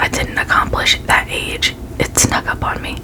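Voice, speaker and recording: A whispered voice comes through over noticeable background noise. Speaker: ASMR creator. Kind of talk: reading aloud.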